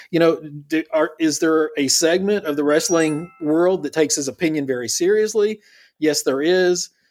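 A man with a plain, everyday voice, fairly high pitch, ordinary pitch variation and moderate pace, in a very clean recording with a silent background. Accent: American. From US South. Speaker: wrestling commentator guest. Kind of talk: casual chat.

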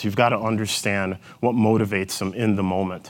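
On a very clean recording with a silent background, a man speaks with a Minnesotan accent. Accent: Minnesotan vowels, elongated O's. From rural Jamaica, Manchester Parish. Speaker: corporate executive. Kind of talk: keynote talk. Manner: energetic.

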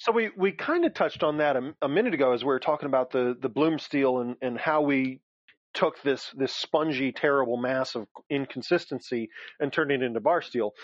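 This man speaks at a fairly quick pace in a medium pitch with ordinary pitch variation, and the sound is dry and close with no echo.

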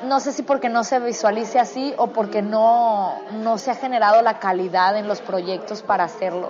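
Over crowd noise in the background, a woman with a fairly high pitch speaks at a moderate pace with ordinary pitch variation. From Culiacán, Sinaloa, Mexico. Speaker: actress. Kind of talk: casual interview. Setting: restaurant.

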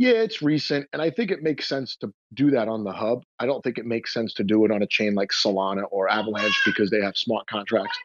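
A man at a very fast pace, with hardly any pauses. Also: medium pitch for a man, ordinary pitch variation, dry, close sound with no echo. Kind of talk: casual chat.

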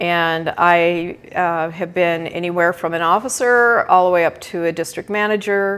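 Heard in a very clean recording with a silent background, a plain, everyday voice moves at a moderate pace with hardly any pauses. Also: woman, fairly low pitch for a woman. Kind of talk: casual interview. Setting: live video stream.

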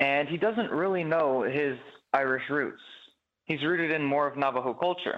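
A plain, everyday voice, male and fairly high-pitched, moderate in pace, ordinary in pitch variation. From Chicago. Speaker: stage actor. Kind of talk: interview.

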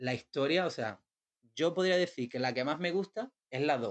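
A man is speaking at a moderate pace. His pitch varies in an ordinary way. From Isla Cristina, Huelva, Andalusia, Spain. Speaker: visual artist. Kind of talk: casual chat.

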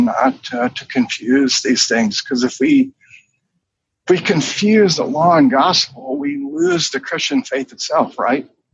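A man with an American accent talks at a moderate pace. His pitch is fairly high, with ordinary variation. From US South, North Carolina (Charlotte). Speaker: pastor. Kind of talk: interview. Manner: halting.

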